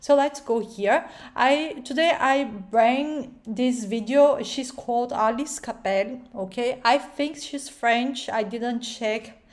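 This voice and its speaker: A woman with a strong Brazilian accent talks in a high pitch with ordinary pitch variation. Her pace is very slow, yet she hardly pauses at all. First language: Portuguese. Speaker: video reaction YouTuber. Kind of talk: reaction commentary. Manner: halting, many fillers.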